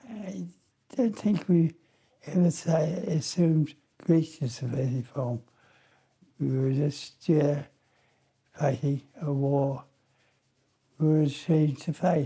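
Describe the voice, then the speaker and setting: Speaking at a very slow pace with long, frequent pauses, a man has a fairly high pitch, a dark, mellow tone, a somewhat breathy quality, and ordinary pitch variation. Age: 80s+. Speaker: war veteran, former fighter pilot. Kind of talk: interview answer.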